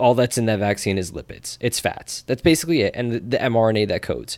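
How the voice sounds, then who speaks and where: Someone talks at a fairly quick pace with a New Jersey accent and ordinary pitch variation. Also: man. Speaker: podcast co-host. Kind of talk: casual chat.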